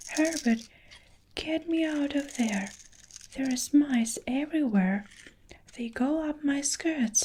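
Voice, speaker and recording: A woman's shrill, high-pitched put-on character voice at a fairly slow pace. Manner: screaming.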